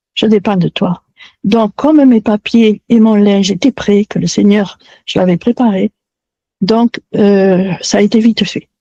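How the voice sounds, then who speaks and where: A woman speaks in a somewhat breathy voice. The sound is dry and close, with no echo. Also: medium pitch for a woman. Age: 70s. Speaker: testimony guest. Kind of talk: testimony.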